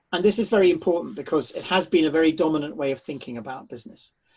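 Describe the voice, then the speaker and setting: The man speaks in a British accent at a high pitch with ordinary variation. The background is quiet. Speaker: charity chief executive. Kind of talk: panel discussion answer. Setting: seminar with audience.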